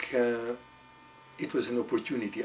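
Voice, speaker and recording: A man talks at a medium pitch. Noticeable background noise runs through the clip. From Hungary. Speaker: psychotherapist. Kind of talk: interview answer.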